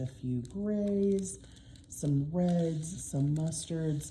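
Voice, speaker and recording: A woman with an American accent and a very deep, low pitch sounds somewhat breathy, with a dark, mellow tone, ordinary pitch variation and audible room echo. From Oklahoma. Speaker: diamond painting YouTuber and English teacher. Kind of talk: casual haul video. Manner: frequent filler ums.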